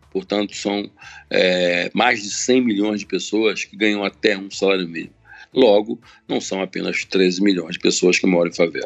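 A man speaks in an ordinary speaking voice with a fairly low pitch and fairly even intonation. His pace is moderate, and his loudness swings widely. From Rio de Janeiro, Baixada Fluminense. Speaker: community organizer and entrepreneur. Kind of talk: interview.

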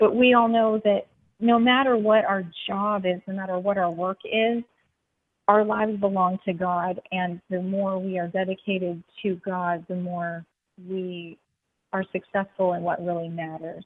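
With an American accent, a woman speaks at a medium pitch in an unremarkable speaking voice. She goes at a fairly slow pace with fairly even intonation. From US, small town. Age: 40s. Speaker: business founder. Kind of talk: interview.

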